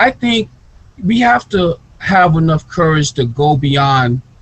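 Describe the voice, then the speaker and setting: With an American accent, a man speaks in a somewhat breathy voice. His pitch swings very widely. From US Midwest (Gary, Indiana). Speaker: author and researcher. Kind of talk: interview.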